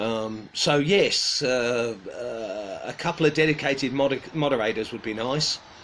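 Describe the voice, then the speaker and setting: A man talks at a fairly slow pace with hardly any pauses, medium pitch and ordinary pitch variation. Noticeable background noise is present. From United Kingdom. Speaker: woodcarving channel host. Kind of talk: casual livestream chat. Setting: live online stream. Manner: halting, many fillers.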